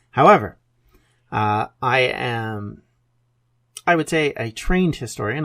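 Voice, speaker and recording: The recording is very clean with a silent background, and a man's intonation is lively throughout. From Canada. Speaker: history podcast host. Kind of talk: podcast monologue. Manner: conversational with frequent filler words.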